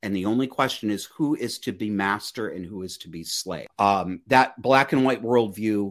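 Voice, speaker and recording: A man's plain, everyday voice, fairly low in pitch, at a moderate pace with hardly any pauses, ordinary pitch variation and big swings in loudness, on a very clean recording with a silent background. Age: 40s. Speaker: podcast host and life coach. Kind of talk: interview.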